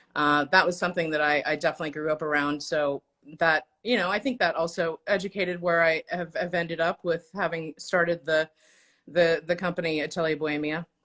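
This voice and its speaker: A woman with an American accent talks at a fairly quick pace in a bright, sharp tone, fairly low in pitch, with fairly even intonation. The recording is very clean, with a silent background. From Oklahoma, Tulsa. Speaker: designer and entrepreneur. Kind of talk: casual chat.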